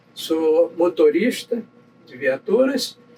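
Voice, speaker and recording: With lively intonation, a man talks very slowly while noticeable noise sits in the background. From Brazil, Nova Friburgo, Rio de Janeiro state. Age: 80s+. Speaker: navy veteran. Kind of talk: interview, life story. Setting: chapel.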